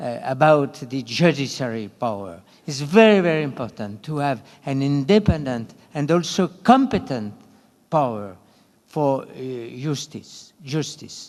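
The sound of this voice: Lively intonation and a slightly mellow tone at a fairly slow pace. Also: man, medium pitch for a man.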